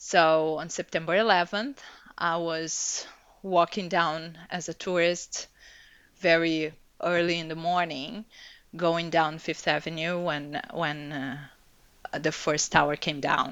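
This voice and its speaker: Speaking very slowly with long, frequent pauses, a woman keeps a fairly low pitch and fairly even intonation. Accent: Portuguese. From Brazil. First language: Portuguese. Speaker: executive coach. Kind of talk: interview. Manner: halting.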